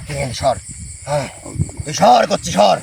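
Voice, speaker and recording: A put-on character voice at a fairly quick pace. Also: man, medium pitch for a man. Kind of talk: possession trance speech. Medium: voice reel. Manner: rough, defiant, uses rude familiar address.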